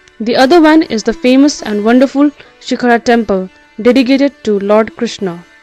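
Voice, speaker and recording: Music plays in the background as a woman talks at a moderate pace, her fairly high voice showing ordinary pitch variation. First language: not English. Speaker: architecture student. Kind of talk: educational architecture history narration.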